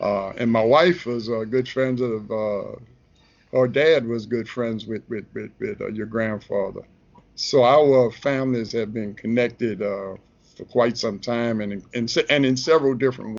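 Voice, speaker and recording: Speaking at a moderate pace with a New Orleans accent, a man of medium pitch varies his pitch in an ordinary way. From New Orleans, Lower Ninth Ward. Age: 60s. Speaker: relationship advice columnist and photographer. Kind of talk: casual interview. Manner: halting, many fillers.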